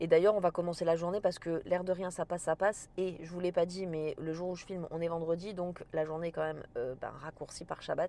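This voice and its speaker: Her tone is dark and mellow, at a medium pitch. The woman talks at a fairly quick pace. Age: 40s. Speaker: cooking and lifestyle vlogger. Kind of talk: casual vlog talk to camera. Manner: casual, with frequent hesitations.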